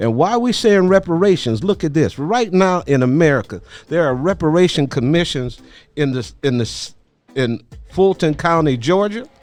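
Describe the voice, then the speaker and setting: At a moderate pace, a man speaks with an ordinary speaking voice that sits fairly high in pitch. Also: lively intonation. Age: 60s. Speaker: podcast host and activist. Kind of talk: interview discussion.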